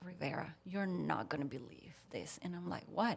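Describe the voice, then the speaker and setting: A woman talks at a moderate pace in a Puerto Rican accent. Her intonation is lively. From Puerto Rico. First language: Spanish. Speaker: veterinarian. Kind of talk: casual chat, storytelling.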